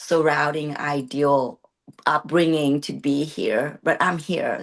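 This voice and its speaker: A woman speaks at a very deep, low pitch in a Vietnamese accent, with monotone, flat intonation. Her pace is fairly slow, and the background is quiet. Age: 30s. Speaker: bodybuilding competitor. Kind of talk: interview. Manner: halting.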